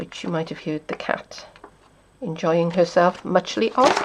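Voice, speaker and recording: A woman speaks at a fairly slow pace in a fairly low pitch. Noticeable noise sits in the background. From South Wales. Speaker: papercrafting demonstrator. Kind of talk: tutorial.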